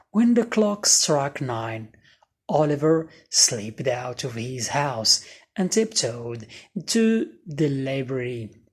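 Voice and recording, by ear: A woman speaks at a slow pace with an extremely low pitch. Her pitch swings widely.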